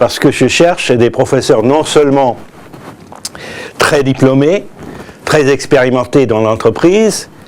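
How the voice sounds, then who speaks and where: There is noticeable background noise behind this man. He talks at a medium pitch with ordinary pitch variation. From US, New York. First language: English (speaking French). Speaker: business school director. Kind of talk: promotional presentation. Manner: halting, many hesitations.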